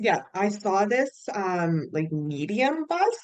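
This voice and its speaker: The speaker has a Canadian accent. The pitch swings very widely. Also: woman. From Canada, British Columbia interior. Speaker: podcast guest, hiker. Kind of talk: casual chat.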